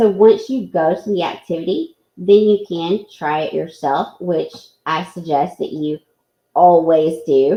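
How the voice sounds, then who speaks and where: A woman talks with a Southern US accent. Her pitch is fairly low, with ordinary pitch variation. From US South. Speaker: teacher presenting at an online education event. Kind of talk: live software tutorial. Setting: live online presentation. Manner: slow.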